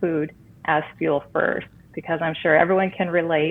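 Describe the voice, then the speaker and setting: A woman with a plain, everyday voice talks at a moderate pace in a fairly low pitch, her intonation fairly even. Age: 40s. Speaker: recipe blogger. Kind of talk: interview.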